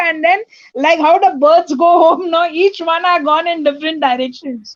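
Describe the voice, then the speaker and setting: The voice is loud. Its pitch varies in an ordinary way. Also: woman. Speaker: participant in online group session. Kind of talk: casual chat.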